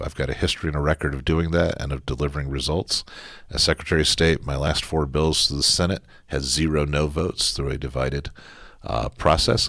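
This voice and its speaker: Delivered at a very fast pace, the voice shows vocal fry and fairly even intonation. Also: man. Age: 60s. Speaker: politician. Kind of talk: interview.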